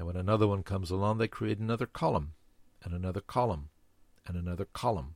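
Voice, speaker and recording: On a very clean recording with a silent background, a man speaks at a very fast pace in a very deep, low voice. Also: ordinary pitch variation. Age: 60s. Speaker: podcast host, former Y2K consultant. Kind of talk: scripted narration.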